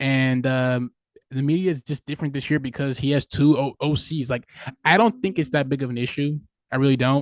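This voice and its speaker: Against a quiet background, a man talks at a fairly high pitch in a dry, close sound with no echo. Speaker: sports podcast host. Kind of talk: casual sports rant. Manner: loud; animated.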